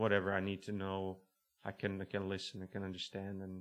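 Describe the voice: A man with a fairly low pitch talks at a fairly quick pace in a fairly bright tone.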